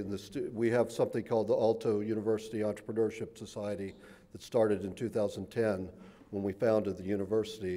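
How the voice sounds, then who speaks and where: In a Southern US accent, a man talks with a fairly low pitch, a dark, mellow tone and fairly even intonation. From US South. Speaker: professor. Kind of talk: lecture. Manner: halting, many fillers and repeats.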